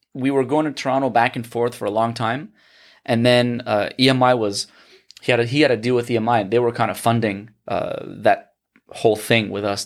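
A man's normal speaking voice, a normal speaking voice at medium pitch with fairly even intonation and a fairly quick pace, in a very clean recording with a silent background. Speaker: musician. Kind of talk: casual chat.

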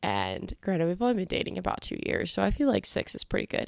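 The recording is very clean, with a silent background and a dry, close sound with no echo. A woman speaks with an American accent. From Kansas, US Midwest. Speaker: podcast host. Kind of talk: casual monologue.

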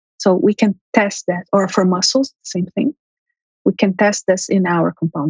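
Somewhat breathy and medium in pitch, a woman talks at a moderate pace with ordinary pitch variation. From Brazil. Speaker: biotech company CEO and scientist. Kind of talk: interview.

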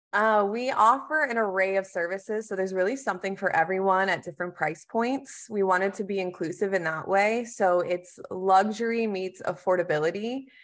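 A woman with a normal speaking voice, medium pitch, ordinary pitch variation and a moderate pace, against a quiet background. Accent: American. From Texas. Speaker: marketing manager. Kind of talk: business interview.

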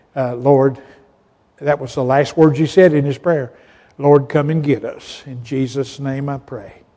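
A fairly slow pace in a Southern US accent. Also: man. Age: 70s. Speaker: pastor. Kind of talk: sermon.

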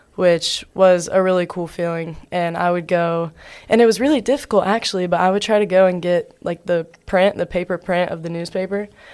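An ordinary speaking voice from a woman with an American accent, medium pitch, fairly even intonation and a fairly quick pace. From US South, Georgia. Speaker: college athlete. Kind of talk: interview.

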